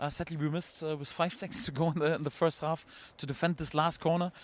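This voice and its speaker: A man talks at a fairly quick pace in a plain, everyday voice, pitched fairly high. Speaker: football manager. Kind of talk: post-match interview.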